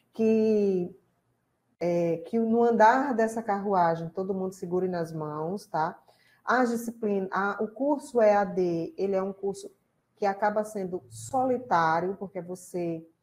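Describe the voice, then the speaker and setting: Speaking with a Rio Grande do Norte accent, a woman talks at a fairly slow pace, her pitch medium, with ordinary pitch variation. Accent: Rio Grande do Norte (northeastern Brazilian). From Rio Grande do Norte, Brazil. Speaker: college lecturer and tutor. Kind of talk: online class live stream welcome. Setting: live stream online class. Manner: casual, conversational.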